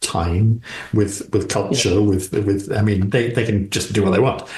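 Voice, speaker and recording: A man's fairly low-pitched voice sounds somewhat breathy. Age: old. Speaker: actor. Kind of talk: interview answer.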